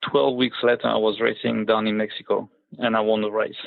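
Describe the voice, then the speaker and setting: A man's fairly quick speech with a French accent. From Ivory Coast, born in France. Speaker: motorbike rally racer. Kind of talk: interview. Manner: hesitant, many fillers.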